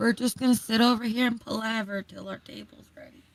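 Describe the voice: In a put-on character voice, the speaker rasps at a fairly high pitch and a fairly quick pace.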